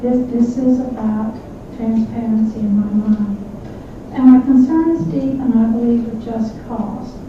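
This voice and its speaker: A woman's fairly high voice at a fairly slow pace, fairly even in intonation, with noticeable background noise and audible room echo. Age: 70s. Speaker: public commenter at city council meeting. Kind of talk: public comment at council meeting.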